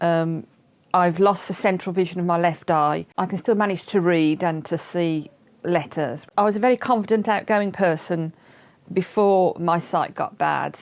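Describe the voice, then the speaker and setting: At a moderate pace, a woman with a fairly low pitch speaks in a plain, everyday voice with ordinary pitch variation. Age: 60s. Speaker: partially sighted person sharing experience. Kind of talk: testimony.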